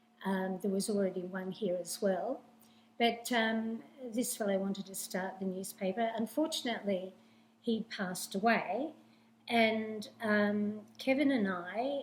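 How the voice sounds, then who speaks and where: A woman with an Australian accent speaks at a medium pitch and a fairly slow pace. Her pitch variation is ordinary, with noticeable background noise. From Sydney, Australia. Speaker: newspaper owner, former dancer. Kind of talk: interview. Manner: halting.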